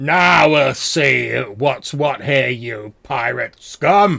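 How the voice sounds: Using a put-on character voice, a man speaks raspy and very slowly at a medium pitch.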